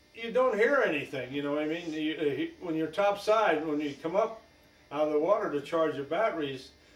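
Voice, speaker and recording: Against noticeable background noise, a man talks at a fairly quick pace with a fairly high pitch and lively intonation. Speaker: war veteran. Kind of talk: interview. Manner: halting.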